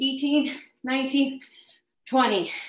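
A woman with a high voice talks at a very slow pace in an upbeat tone. Room echo is audible. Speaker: fitness instructor. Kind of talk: live workout class leading. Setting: live video stream. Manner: brisk, upbeat, encouraging cueing with countdowns. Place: home room. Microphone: webcam.

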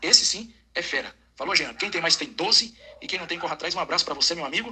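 Big swings in loudness mark a man's very fast speech. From Porto Ferreira, São Paulo state, Brazil; São Paulo state, Brazil. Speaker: football fan sending voice message; football fan channel host. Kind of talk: voice message. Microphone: studio mic.

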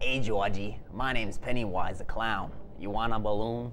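A put-on character voice at a moderate pace, with clear background noise behind it. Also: man, medium pitch for a man. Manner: sinister, playfully menacing.

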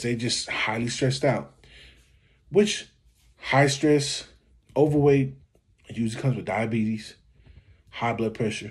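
Somewhat breathy, a man speaks at a moderate pace over a quiet background. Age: 40s. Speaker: YouTube commentator. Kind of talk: reaction video commentary. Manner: casual, conversational. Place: home room. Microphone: phone near.

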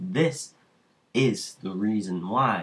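Fairly low male pitch, bright and sharp in tone. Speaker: vlogger. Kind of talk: casual vlog monologue.

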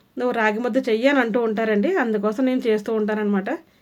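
Fairly even intonation from a woman speaking at a high pitch. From Andhra Pradesh. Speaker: cooking vlogger. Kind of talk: cooking tutorial. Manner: casual, chatty.

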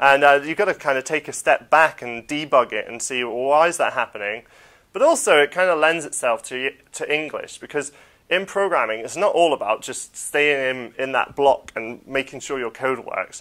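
Against a quiet background, a man's fairly high voice comes through with a bright, sharp tone. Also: ordinary pitch variation, moderate pace. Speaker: computing teacher. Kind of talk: interview. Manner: casual, many fillers. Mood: relaxed, friendly. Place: classroom. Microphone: lapel.

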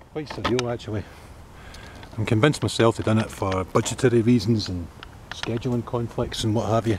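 Over noticeable background noise, a man talks at a fairly quick pace. His intonation is fairly even, and the sound is dry with no echo. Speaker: travel vlogger. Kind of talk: casual vlog chat. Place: street. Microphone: phone near.

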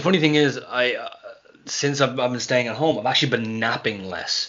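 A man talks at a fairly quick pace with an Irish accent. His pitch variation is ordinary. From Ireland. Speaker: pro wrestler; podcast guest. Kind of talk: casual chat. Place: home room.

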